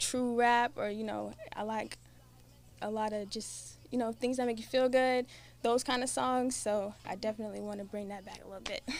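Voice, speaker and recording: A woman with an American accent speaks at a moderate pace in a normal speaking voice, pitched fairly high. Her intonation is fairly even, but her loudness swings widely. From Delaware, US. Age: 20s. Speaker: R&B singer. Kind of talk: casual interview.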